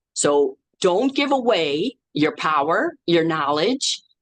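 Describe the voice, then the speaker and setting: An animated voice in an American accent swings very widely in pitch. The sound is dry and close, with no echo. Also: woman. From US Midwest, Chicago south side. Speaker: spiritual life coach. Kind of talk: casual chat. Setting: video call.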